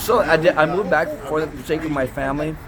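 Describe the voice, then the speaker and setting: A man in an American accent keeps a moderate pace while noticeable background noise plays behind him. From northern Minnesota. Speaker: film producer. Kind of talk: interview. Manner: halting.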